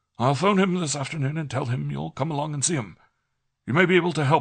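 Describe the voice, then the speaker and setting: Over a quiet background, a man puts on a raspy character voice, fairly high-pitched with ordinary pitch variation, racing along at a very fast pace. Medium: read story.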